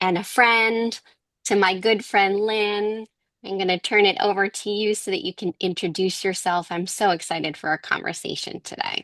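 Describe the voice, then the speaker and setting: A woman's bright, sharp voice at medium pitch, with a Boston accent and a fairly slow pace, dry and close with no echo against a quiet background. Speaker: podcast co-host, counselor. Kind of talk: podcast introduction. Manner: quieter than usual.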